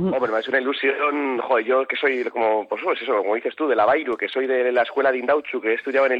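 This man's pitch is fairly high, with fairly even intonation. He talks at a very fast pace. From Bilbao, Basque Country. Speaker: actor. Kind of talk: radio interview.

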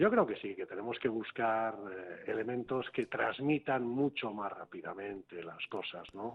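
A fairly slow man's voice at medium pitch, with ordinary pitch variation. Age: 50s. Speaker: business coach and author, former mayor. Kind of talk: radio interview. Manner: halting, with fillers.

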